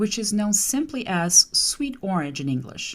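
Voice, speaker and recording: A woman at a moderate pace with very wide pitch swings. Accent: Portuguese. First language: Portuguese. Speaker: translator and podcast host. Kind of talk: scripted podcast monologue.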